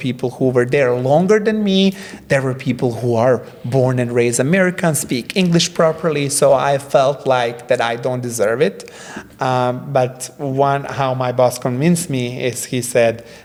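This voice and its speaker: Over noticeable background noise, a man talks at a moderate pace. His medium-pitched voice shows ordinary pitch variation. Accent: non-native. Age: 30s. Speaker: creative director and restaurant owner. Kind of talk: casual interview chat. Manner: halting, many fillers.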